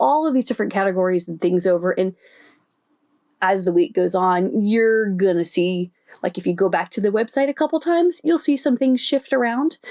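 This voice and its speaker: Animated in tone, this voice with an American accent moves at a fairly quick pace through very wide pitch swings. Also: woman. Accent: Southern US twang, comes out when tired. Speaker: craft video creator and pattern designer. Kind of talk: casual chat.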